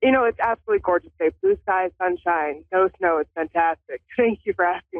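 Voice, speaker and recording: A woman with a normal speaking voice talks with very even loudness and hardly any pauses. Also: medium pitch for a woman, ordinary pitch variation, fairly quick pace. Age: 40s. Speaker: caller. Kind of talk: phone-in psychic reading.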